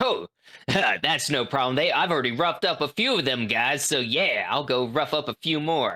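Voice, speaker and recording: A gruff, put-on character voice at a low-to-middle pitch and a moderate pace. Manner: tough, gruff.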